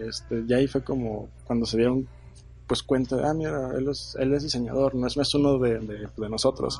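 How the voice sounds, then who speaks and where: At a moderate pace, a man talks at a medium pitch, somewhat breathy, with fairly even intonation. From northern Mexico, Torreón (La Laguna). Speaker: product designer. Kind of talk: interview.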